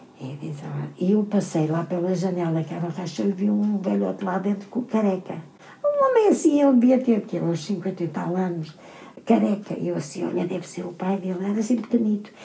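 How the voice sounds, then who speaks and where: Over noticeable background noise, a woman talks at a fairly quick pace and a medium pitch. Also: ordinary pitch variation. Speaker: retired seamstress. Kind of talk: casual chat.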